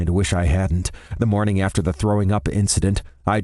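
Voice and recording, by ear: With fairly even intonation, a natural voice reads the words aloud.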